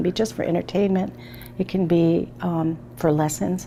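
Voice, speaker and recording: A woman talks at a moderate pace in a fairly low pitch, her pitch varying in an ordinary way. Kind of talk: interview. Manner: hesitant, many fillers.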